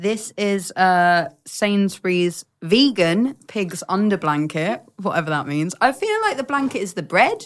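Using a normal speaking voice, a woman talks at a fairly slow pace with hardly any pauses, lively intonation and medium pitch. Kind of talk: casual chat.

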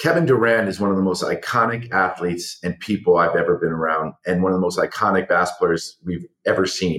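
Using a plain, everyday voice, a man talks at a moderate pace with a fairly low pitch and lively intonation. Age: 40s. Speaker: talent manager and media entrepreneur. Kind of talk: interview.

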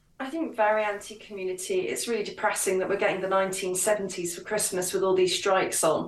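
With hardly any pauses, a woman at medium pitch talks at a fairly quick pace and with fairly even intonation against noticeable background noise. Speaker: author and commentator. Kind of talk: radio interview, casual political discussion.

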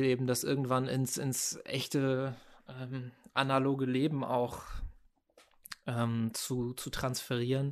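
Monotone and flat, a man of medium pitch talks at a fairly slow pace with long, frequent pauses. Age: 30s. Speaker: art director and graphic designer. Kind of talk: casual interview chat.

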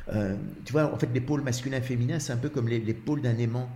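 With a Belgian accent, a man talks at a medium pitch with fairly even intonation, and the room echo is audible. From Belgium. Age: 60s. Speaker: actor in a one-man show about couples. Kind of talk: casual chat. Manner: halting, many repetitions.

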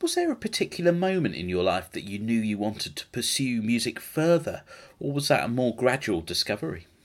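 With a British accent, a man speaks at a medium pitch and a fairly quick pace, his pitch swinging very widely, on a very clean recording with a silent background. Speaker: podcast host. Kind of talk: casual chat.

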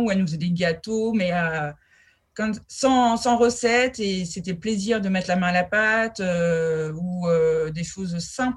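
A woman speaks at a very slow pace with ordinary pitch variation. Her somewhat breathy voice comes through a very clean recording with a silent background. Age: 40s. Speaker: food educator and business owner. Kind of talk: interview. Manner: halting.

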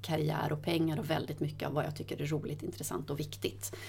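A woman speaks in a very deep, low voice, with audible room echo around her. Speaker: corporate sustainability head. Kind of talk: interview conversation. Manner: quick, sharp delivery.

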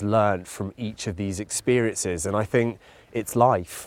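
A man with a British accent, fairly low in pitch, at a moderate pace with fairly even intonation, on a very clean recording with a silent background. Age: 30s. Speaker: endurance athlete. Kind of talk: casual conversation. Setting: outdoors, walking in a park.

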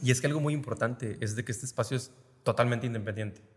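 A man talks at a very fast pace in a medium pitch, with ordinary pitch variation and a somewhat breathy sound. The recording is very clean, with a silent background. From Reynosa, Tamaulipas, northern Mexico. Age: 30s. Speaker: theatre co-founder, industrial engineer. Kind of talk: casual interview.

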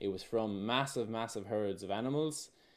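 A man speaks at a fairly slow pace with an Irish accent, his pitch fairly low with ordinary variation. The recording is very clean, with a silent background. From Ireland. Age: 30s. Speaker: regenerative farmer and former pro surfer. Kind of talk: casual interview chat.

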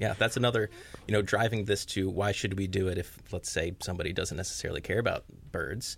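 A man talks very fast in a fairly low, somewhat breathy voice. His intonation stays fairly even. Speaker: conservation manager. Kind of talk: radio interview.

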